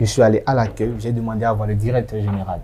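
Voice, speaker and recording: At a fairly quick pace, a man talks with a medium pitch. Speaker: association president. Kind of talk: interview. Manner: animated.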